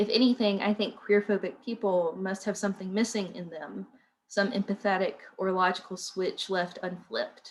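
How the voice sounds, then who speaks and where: A woman speaks in an Appalachian accent with fairly even intonation. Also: medium pitch for a woman, moderate pace. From southwestern Virginia, Appalachia. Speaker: writer and educator. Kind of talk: reading aloud.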